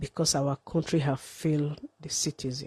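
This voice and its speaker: Recorded dry and close with no echo, a woman speaks with a very deep, low pitch, a dark, mellow, somewhat breathy tone and monotone, flat intonation. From Nigeria. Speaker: live streamer. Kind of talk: livestream monologue.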